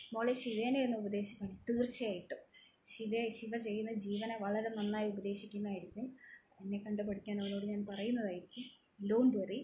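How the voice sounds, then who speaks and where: A soft-spoken, somewhat breathy woman with a dark, mellow tone, fairly high pitch, and monotone, flat intonation over light background noise. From Kerala. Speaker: TV serial actress and nurse; TV serial actress. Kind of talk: live Q&A reading viewer comments. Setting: social media live video from home. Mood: cheerful, relaxed. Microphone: phone near.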